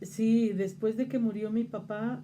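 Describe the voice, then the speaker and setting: A woman speaks at a fairly slow pace in a dark, mellow tone. Her voice is somewhat breathy. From Mexico, Zacatecas. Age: 60s. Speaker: interviewee on local religious tradition. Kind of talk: interview. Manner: hesitant fillers (este, eh).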